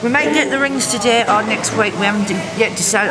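A woman with ordinary pitch variation over clear music in the background. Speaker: vlogger. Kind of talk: casual vlog chat. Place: cafe. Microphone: phone near.

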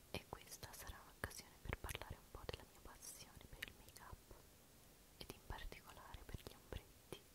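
Whispering, a woman speaks with big swings in loudness. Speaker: ASMR creator. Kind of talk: ASMR show and tell, soft-spoken talk to camera. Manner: soft-spoken, slow, relaxed. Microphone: studio mic.

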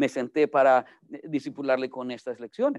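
A man talks with a Salvadoran accent at a fairly quick pace. The background is quiet. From El Salvador. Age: 40s. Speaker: pastor. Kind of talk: sermon. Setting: church. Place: classroom. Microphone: video call.

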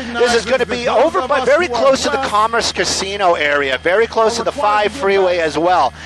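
A man with a high voice speaks at a very fast pace, his pitch swinging very widely. Noticeable noise sits in the background. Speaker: news helicopter reporter, live commentator. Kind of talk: live commentary on a police chase. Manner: casual, conversational, matter-of-fact.

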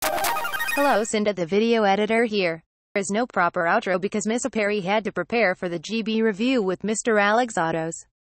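A female-sounding, robotic put-on character voice at medium pitch moves at a moderate pace with hardly any pauses.

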